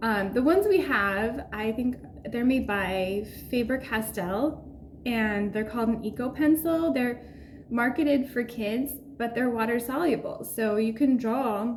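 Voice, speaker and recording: Fairly slow speech from a woman at a fairly high pitch, with ordinary pitch variation and noticeable background noise. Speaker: urban sketching artist. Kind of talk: casual tutorial talk to camera.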